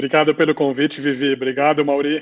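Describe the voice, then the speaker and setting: Fairly high-pitched male voice at a fairly quick pace, monotone, flat intonation, and a dry, close sound with no echo. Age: 40s. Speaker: civil engineer and ultramarathon runner. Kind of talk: live interview chat.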